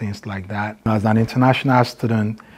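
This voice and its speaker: A somewhat breathy voice with a Nigerian accent moves at a fairly quick pace in monotone, flat intonation. The recording is very clean, with a silent background. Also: man. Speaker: math teacher. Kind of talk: interview.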